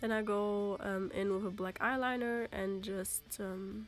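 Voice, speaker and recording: Music plays behind a woman speaking at a fairly slow pace. Her pitch is medium. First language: German. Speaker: makeup vlogger. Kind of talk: makeup tutorial narration. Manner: casual, hesitant.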